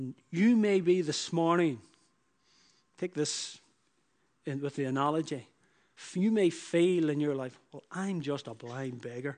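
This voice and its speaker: Using a Northern Irish accent, a man speaks at a fairly high pitch with ordinary pitch variation, big swings in loudness and long, frequent pauses. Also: fairly slow pace. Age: 40s. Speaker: preacher. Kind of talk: sermon. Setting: church.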